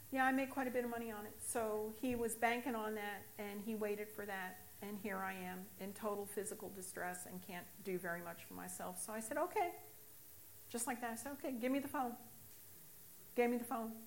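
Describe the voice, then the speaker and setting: A woman's fairly quick speech in an American accent, fairly high in pitch with ordinary pitch variation, amid audible room echo. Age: 60s. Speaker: recovering alcoholic sharing testimony. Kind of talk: testimony.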